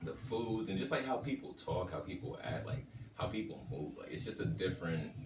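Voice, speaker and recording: Medium-pitched man at a fairly quick pace, his pitch swinging very widely, with music in the background. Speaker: voice actor. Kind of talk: interview answer.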